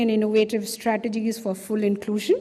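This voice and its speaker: Somewhat breathy, with a dark, mellow tone and a fairly quick pace. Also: woman. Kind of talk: formal conference speech. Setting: conference hall with audience.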